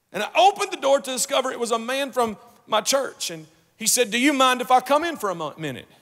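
With a Kentucky accent, a man talks at a very fast pace in an extremely high pitch with very wide pitch swings, over a quiet background. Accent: Kentucky Southern US. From rural Kentucky. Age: 40s. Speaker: guest preacher. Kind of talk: sermon. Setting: church. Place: stage. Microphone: handheld.

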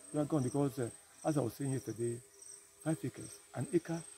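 A man with a Ghanaian accent speaks with long, frequent pauses, the sound dry with no echo and light background noise behind him. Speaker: farmer and former military officer. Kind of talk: interview answer. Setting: outdoors. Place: farm machine. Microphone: phone near.

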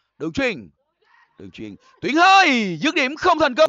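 A man at a fairly slow pace. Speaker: football commentator. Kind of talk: live football match commentary.

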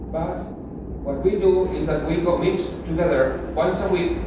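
Strong room echo fills the recording. Noticeable background noise runs underneath. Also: man. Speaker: preacher. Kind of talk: sermon. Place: hall.

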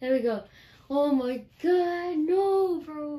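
A woman's voice with very wide pitch swings. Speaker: gamer vlogger. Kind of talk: casual gaming reaction commentary. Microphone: phone near.

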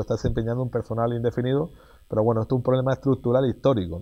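A man is speaking. He has a Canarian accent. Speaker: mayor. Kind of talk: casual interview. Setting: outdoors. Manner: halting, repeats words.

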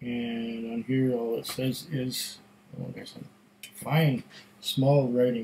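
With long, frequent pauses and big swings in loudness, a man speaks very slowly at a medium pitch in a monotone, flat intonation over light background noise. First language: German. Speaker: whisky tasting video host. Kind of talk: casual solo tasting review. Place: home room. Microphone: webcam.

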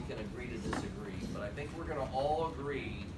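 A man speaks at a moderate pace. Loud background noise runs behind him. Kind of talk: formal meeting remarks. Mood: appreciative, warm. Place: meeting room.

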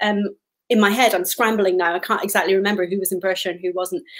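A woman at a very fast pace, with a quiet background. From Scotland. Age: 50s. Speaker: author. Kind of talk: interview. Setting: video call. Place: home room.

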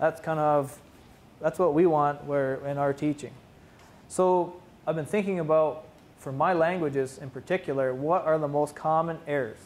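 A man's fairly high voice at a moderate pace, with fairly even intonation. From Mohawk territory, Ontario, Canada. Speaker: Mohawk language teacher and PhD student; Mohawk language teacher. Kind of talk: conference presentation. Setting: conference room with audience. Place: classroom. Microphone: camera far.

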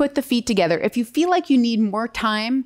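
A woman talks at a moderate pace against a quiet background. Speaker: yoga or movement instructor. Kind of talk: tutorial. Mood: relaxed, friendly, casual. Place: studio.

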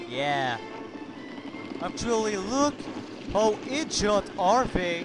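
Over music in the background, a man talks very slowly in a high voice with very wide pitch swings. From North Africa. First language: French. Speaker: gaming commentator. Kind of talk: live game commentary.

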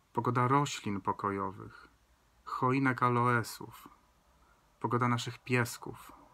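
Very slowly and in a flat monotone, a man speaks with a bright, sharp yet calm, soothing tone, leaving long, frequent pauses. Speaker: video creator reading poetry aloud. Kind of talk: poem reading. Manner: slow, calm, soothing and gentle; measured, incantatory, with the refrain repeated like a blessing. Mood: calm, gentle, reflective. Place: home room. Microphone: phone near.

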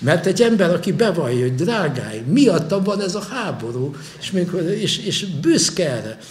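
The voice moves through very wide pitch swings. Light background noise sits behind it. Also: man, high pitch for a man, moderate pace. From Hungary. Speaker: historian and university lecturer; university lecturer. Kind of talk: lecture. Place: hall. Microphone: podium.

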